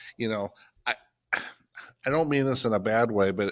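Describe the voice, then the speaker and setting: An unremarkable speaking voice from a man, fairly low in pitch, at a moderate pace on a very clean recording with a silent background. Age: 50s. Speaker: plumbing and HVAC business owner. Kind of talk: casual chat. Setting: studio.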